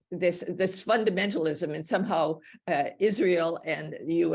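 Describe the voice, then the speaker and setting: A woman with a fairly low pitch and vocal fry talks at a moderate pace with fairly even intonation over a quiet background. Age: 80s+. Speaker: meeting participant. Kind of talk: Q&A discussion. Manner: halting.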